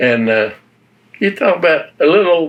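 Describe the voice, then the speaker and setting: The speaker has an Appalachian accent and a fairly slow pace. Pitch variation is ordinary. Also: man. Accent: Appalachian Southern US. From western North Carolina (Avery County, Appalachia). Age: 90s. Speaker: war veteran. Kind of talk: oral history interview.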